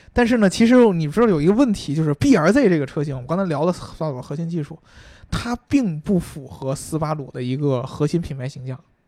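This man has a dark, mellow tone and a fairly high pitch. He talks at a very fast pace with lively intonation. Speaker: car podcast co-host. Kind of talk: casual chat about cars. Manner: casual, joking banter.

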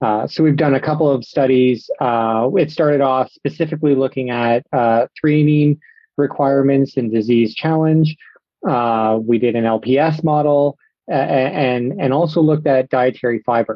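With a Canadian accent, a man talks at a moderate pace and a medium pitch, his loudness very even. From Ontario, Canada. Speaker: swine nutrition research scientist. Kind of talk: interview. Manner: halting, many fillers.

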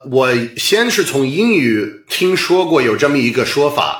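An English-accented man speaks with a fairly high pitch and lively intonation. There is audible room echo. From US Northeast, Boston. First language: English (speaking Chinese). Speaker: stand-up comedian. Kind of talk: interview conversation. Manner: halting, with fillers.

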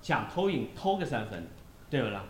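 With audible room echo, a somewhat breathy man talks at a fairly quick pace, his pitch swinging very widely. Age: 30s. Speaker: football pundit. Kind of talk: casual football discussion.

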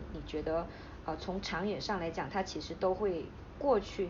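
Recorded with audible room echo, a woman with a Taiwanese accent speaks at a moderate pace, somewhat breathy, with ordinary pitch variation. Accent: Taiwanese-sounding Mandarin. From Hainan, China. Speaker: podcast host. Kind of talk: casual interview chat.

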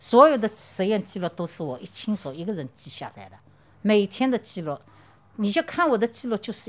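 A woman talks at a fairly quick clip, her medium-pitched voice swinging very widely up and down. Vocal fry runs through her speech. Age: 60s. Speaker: infectious disease researcher. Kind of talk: interview.

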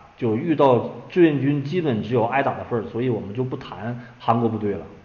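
Over noticeable background noise and audible room echo, a man talks at a moderate pace at a medium pitch. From Inner Mongolia, China. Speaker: author and Korean War researcher. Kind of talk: interview. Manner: hesitant with many fillers.

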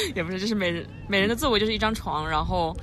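There is noticeable background noise. Room echo is audible too. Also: woman. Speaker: podcast co-host. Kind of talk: casual chat. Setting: outdoor hilltop cafe.

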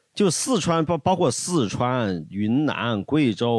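On a very clean recording with a silent background, a man speaks with very wide pitch swings. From Luzhou, Sichuan. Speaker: podcast guest. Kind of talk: casual chat.

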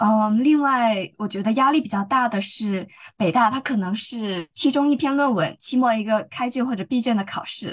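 At a moderate pace, a woman uses a normal speaking voice with a fairly high pitch and ordinary pitch variation. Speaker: law student. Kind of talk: casual interview.

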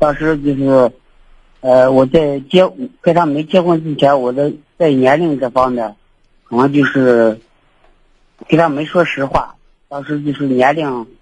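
Fairly slow and with long, frequent pauses, a man with a fairly high pitch keeps his intonation fairly even. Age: 30s. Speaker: radio call-in listener. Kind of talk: casual chat.

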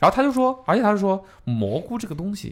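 Here a man talks at a fairly quick pace. His pitch swings very widely. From southern China. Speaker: podcast host. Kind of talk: casual chat.

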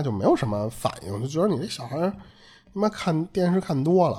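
A man's somewhat breathy voice with very wide pitch swings. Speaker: podcast host. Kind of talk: casual chat, storytelling. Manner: casual, colloquial, Northern Mandarin speech.

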